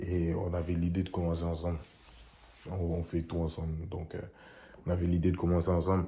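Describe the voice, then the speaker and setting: A man speaks at a moderate pace in a very deep, low pitch, with a dark, mellow and somewhat breathy tone. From Senegal. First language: English (speaking French). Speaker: vlogger. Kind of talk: casual vlog.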